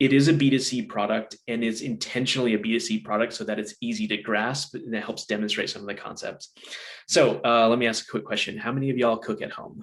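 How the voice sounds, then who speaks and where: A man's medium-pitched voice, very fast in pace, with ordinary pitch variation. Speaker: product management consultant and webinar speaker. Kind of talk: webinar presentation.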